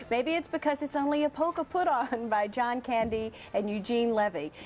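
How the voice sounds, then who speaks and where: A woman's lively intonation against noticeable background noise. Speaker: morning show host, interviewer. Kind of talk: TV talk show interview.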